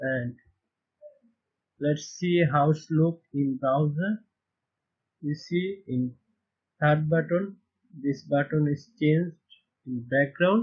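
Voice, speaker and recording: The speaker talks at a very slow pace with ordinary pitch variation, a somewhat breathy sound, and long, frequent pauses. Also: man, fairly high pitch for a man. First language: not English. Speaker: web development tutor. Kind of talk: screen-recorded coding tutorial. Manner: halting, with frequent fillers.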